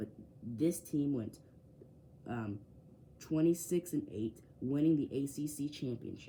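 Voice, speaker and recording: A man's fairly high, somewhat breathy voice with a dark, mellow tone and lively intonation. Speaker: sports YouTuber. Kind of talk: casual bracket predictions. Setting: home man cave near window. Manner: fast; hesitant with fillers.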